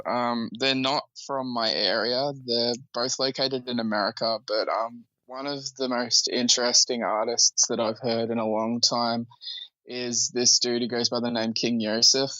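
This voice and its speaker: A medium-pitched man with an Australian accent, at a fairly slow pace. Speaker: musician. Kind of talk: casual interview.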